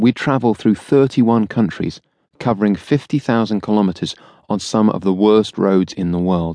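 Against a quiet background, a man with an unremarkable speaking voice talks at a moderate pace in a fairly low pitch. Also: dry, close sound with no echo. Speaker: audiobook narrator. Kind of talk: audiobook narration, first-person memoir. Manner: measured, warm storyteller pacing with wry, lightly humorous delivery.

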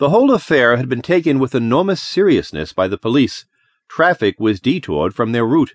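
The speaker delivers plain reading aloud with lively intonation, with only a quiet background behind it.

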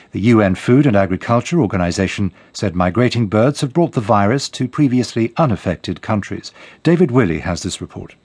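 Against a quiet background, a man talks at a fairly quick pace in an ordinary speaking voice. His medium pitch rises and falls with lively intonation. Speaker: BBC newsreader. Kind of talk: news reading, scripted headlines bulletin. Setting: studio. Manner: formal, brisk, neutral and measured; crisp, even delivery with little emotion.

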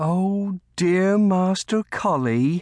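A man's put-on character voice, high-pitched for a man, with a slightly mellow tone, lively intonation and a very slow pace, on a very clean recording with a silent background.

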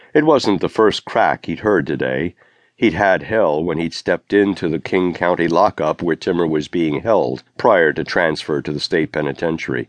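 A man's very deep, low voice with vocal fry and a dramatic tone, ordinary pitch variation, moderate pace, dry and close with no echo, over a quiet background. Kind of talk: audiobook narration of a crime thriller. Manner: dramatic, suspenseful, measured pacing.

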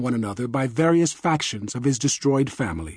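The man's voice is fairly high, with a dark, mellow tone and lively intonation. His tone is solemn, and the background is quiet. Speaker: audiobook narrator. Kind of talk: dramatic audiobook narration, reading aloud. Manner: somber, reflective, punchy short sentences.

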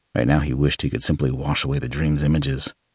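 Dry and close with no echo, a man's very deep, low voice carries vocal fry. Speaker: audiobook narrator. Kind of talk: audiobook narration of a thriller, with the opening in first-person letter style. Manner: dramatic, brooding, serious.

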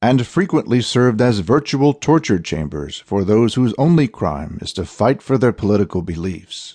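In a dramatic tone, a man with a medium pitch and vocal fry speaks at a moderate pace with very wide pitch swings and hardly any pauses, over a quiet background. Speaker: audiobook narrator. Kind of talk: dramatic audiobook narration, scripted. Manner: grave, dramatic, measured; formal, ominous, hard-hitting tone.

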